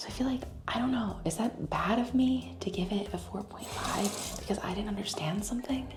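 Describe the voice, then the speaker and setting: A woman whispering at a fairly quick pace, with music in the background and audible room echo. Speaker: lifestyle vlogger. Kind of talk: casual vlog talk.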